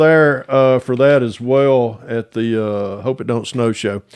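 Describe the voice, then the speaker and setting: A man with a Southern US accent speaks against a quiet background. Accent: Southern US (Georgia). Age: 60s. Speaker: model car hobbyist YouTuber. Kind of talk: casual interview chat. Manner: casual, halting with many fillers.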